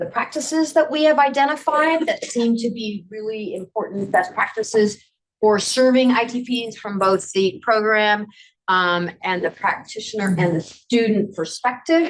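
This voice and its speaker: This woman's fairly high voice moves at a moderate speed. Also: lively intonation. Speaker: conference presenter on adult education. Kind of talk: workshop presentation. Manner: hesitant, many fillers.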